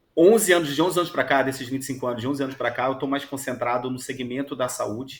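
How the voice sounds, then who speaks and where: Speaking very fast with hardly any pauses, a man with a strong Rio de Janeiro accent uses a medium pitch and ordinary pitch variation. The recording is very clean, with a silent background. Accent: strong carioca. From Rio de Janeiro, Brazil. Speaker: HR executive. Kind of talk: radio interview.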